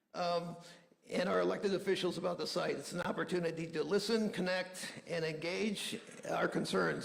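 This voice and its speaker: Room echo can be heard in this clip. The man speaking holds a moderate pace. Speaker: neighborhood association president. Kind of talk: town hall meeting opening remarks. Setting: community meeting with audience. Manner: halting, with fillers and restarts.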